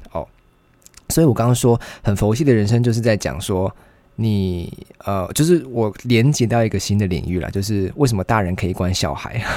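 A man speaks at a moderate pace with a fairly low pitch. His tone is dark and mellow, and his intonation is lively. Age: 20s. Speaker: podcast host, university student. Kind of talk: casual solo monologue.

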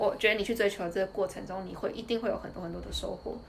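In a Taiwanese accent, a woman talks very fast at a medium pitch against noticeable background noise. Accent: Taiwanese Mandarin. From Taiwan, Tainan. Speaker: former finance employee, student. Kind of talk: casual interview. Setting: at her home.

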